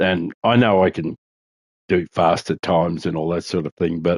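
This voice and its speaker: A man with an Australian accent speaks in a very deep, low voice. His intonation stays fairly even. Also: dry, close sound with no echo. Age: 60s. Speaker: gaming streamer. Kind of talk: casual chat. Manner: halting.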